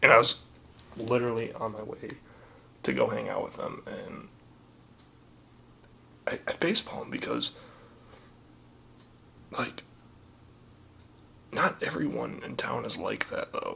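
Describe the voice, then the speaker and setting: A man's whispering at a fairly slow pace, with big swings in loudness, long, frequent pauses and noticeable background noise. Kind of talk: ASMR personal story. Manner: whispered.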